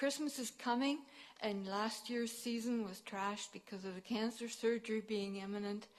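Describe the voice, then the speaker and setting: At a moderate pace and with fairly even intonation, a woman talks at a fairly high pitch over noticeable background noise. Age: 60s. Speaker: resident presenting to council. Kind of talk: public delegation speech. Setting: city council meeting.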